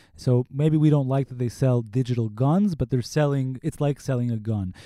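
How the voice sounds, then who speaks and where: A normal speaking voice, male and medium-pitched, at a moderate pace. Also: dry, close sound with no echo. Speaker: investigative reporter. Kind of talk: interview. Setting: studio.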